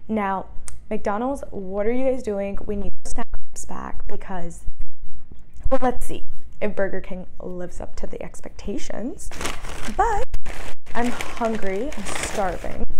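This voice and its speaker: A woman talks at a fairly slow pace, leaving long, frequent pauses. Light background noise can be heard. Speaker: food reviewer. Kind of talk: casual vlog chat. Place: kitchen.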